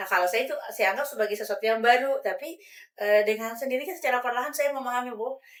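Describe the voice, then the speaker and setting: The delivery is very fast. Its pitch varies in an ordinary way. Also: woman, high pitch for a woman. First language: regional mother tongue, not Indonesian (speaking Indonesian). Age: adult. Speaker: language educator. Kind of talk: podcast discussion. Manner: hesitant with fillers.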